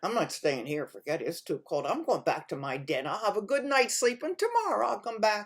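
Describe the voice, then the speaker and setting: This is a put-on character voice with a fairly high pitch. It moves at a fairly quick pace. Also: hardly any pauses. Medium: read story. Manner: chuckling, sly.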